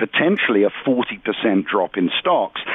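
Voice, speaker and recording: Lively intonation and a fairly slow pace from a man with an unremarkable speaking voice. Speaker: economic analyst. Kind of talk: interview.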